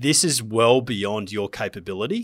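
A man with an Australian accent speaks at a medium pitch with ordinary pitch variation, in a very clean recording with a silent background. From Queensland, Australia (Gold Coast). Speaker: business founder. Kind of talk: interview.

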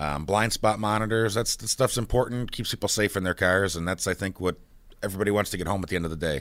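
A man at a very fast pace, fairly low in pitch, with an American accent and ordinary pitch variation, on a very clean recording with a silent background. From Buffalo, New York. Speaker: car dealership general manager. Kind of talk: radio interview. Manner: halting, many fillers.

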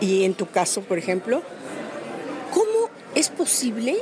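A woman talks at a fairly slow pace, her fairly high pitch making very wide swings. Crowd noise fills the background, and room echo is audible. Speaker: voice actress. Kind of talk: interview.

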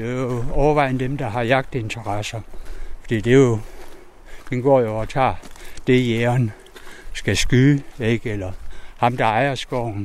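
Fairly slow, fairly evenly intoned speech with long, frequent pauses over noticeable background noise. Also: man. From East Jutland, Denmark. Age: 60s. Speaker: wolf protection activist. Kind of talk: interview.

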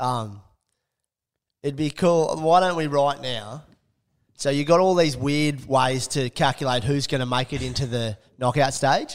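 In a very clean recording with a silent background, a man with an Australian accent talks at a fairly slow pace and a fairly high pitch, with ordinary pitch variation and long, frequent pauses. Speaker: sports podcast co-host. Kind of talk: casual chat.

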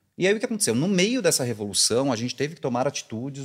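Using very wide pitch swings around a medium pitch, a man speaks at a very fast pace. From interior of São Paulo state, Brazil. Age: 40s. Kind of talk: casual interview.

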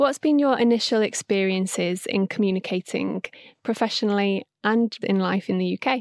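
A woman talks at a moderate pace and medium pitch with ordinary pitch variation in a plain, everyday voice. The very clean recording has a silent background and a dry, close sound with no echo. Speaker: podcast host. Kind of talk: interview discussion, moderated podcast.

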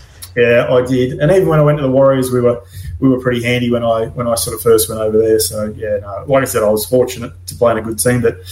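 A man with a Queensland accent at a medium pitch, a very fast pace and ordinary pitch variation. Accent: Australian, Queensland. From Gladstone, Queensland, Australia. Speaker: former rugby league player and assistant coach. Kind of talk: casual chat.

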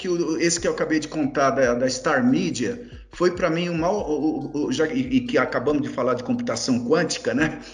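A man's fairly high voice with very wide pitch swings, audible room echo and noticeable background noise. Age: 60s. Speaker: journalist and investor. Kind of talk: interview.

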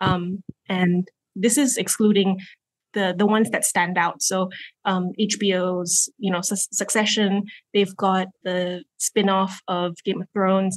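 In an American accent, a woman talks at a very slow pace with monotone, flat intonation. The sound is dry and close, with no echo. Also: medium pitch for a woman. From Malaysia. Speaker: content strategist, former radio producer. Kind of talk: casual panel discussion. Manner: hesitant, many fillers.

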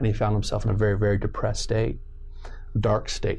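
A man with an American accent, in a room with audible echo. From Southern California. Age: 40s. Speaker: pastor. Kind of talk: casual interview with preaching.

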